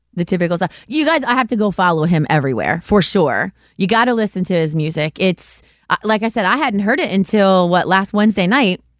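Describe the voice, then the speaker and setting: A woman with an animated tone and lively intonation talks fairly quickly at very even loudness, in a very clean recording with a silent background. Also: medium pitch for a woman. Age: 40s. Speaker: podcast host. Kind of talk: casual chat.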